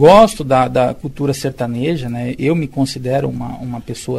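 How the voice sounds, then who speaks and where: A man with a plain, everyday voice, medium pitch, fairly even intonation and a moderate pace. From interior of São Paulo state, Brazil. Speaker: public sector technical adviser. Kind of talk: interview.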